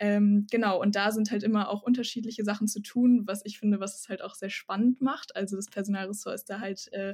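A somewhat breathy woman of medium pitch speaks at a moderate pace with monotone, flat intonation. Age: 20s. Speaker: psychology student. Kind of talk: podcast interview.

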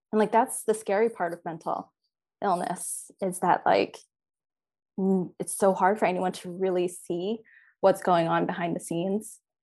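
At a moderate pace, a woman with a plain, everyday voice speaks at a medium pitch with fairly even intonation over a quiet background. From US, Philadelphia and Virginia. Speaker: dietitian. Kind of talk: interview, personal story.

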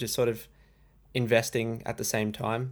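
A man talks with an Australian accent at medium pitch and with fairly even intonation. The recording is very clean, with a silent background. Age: 20s. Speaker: trading YouTuber. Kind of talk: casual chat.

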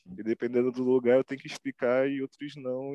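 The sound is dry and close with no echo. A man speaks at a medium pitch. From Brazil, Rio de Janeiro West Zone. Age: 20s. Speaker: self-taught visual artist. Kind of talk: interview. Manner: casual slang-heavy.

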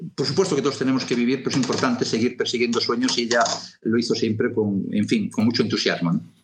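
Very fast and very even in loudness, a man speaks at medium pitch with ordinary pitch variation. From Galicia (Lugo), Spain. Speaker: television producer. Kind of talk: interview.

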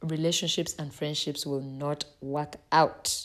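At a very slow pace, a woman speaks with a very deep, low pitch. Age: 20s. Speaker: podcast host. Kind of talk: solo podcast monologue. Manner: casual, with frequent laughs.

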